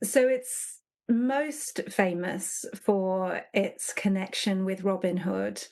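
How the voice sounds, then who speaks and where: Against a quiet background, the speaker goes at a very slow pace with an English accent and ordinary pitch variation. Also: woman, medium pitch for a woman. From England, Nottingham. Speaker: leadership consultant. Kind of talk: podcast interview.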